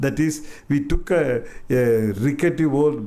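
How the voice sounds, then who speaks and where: A man with an Indian accent, dark, mellow tone, fairly slow pace. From Madurai, India. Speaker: artist and writer. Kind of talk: public talk. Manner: hesitant, reminiscing.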